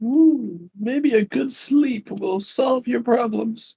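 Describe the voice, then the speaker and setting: Pitched fairly high, a put-on character voice moves at a very slow pace. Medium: actual play.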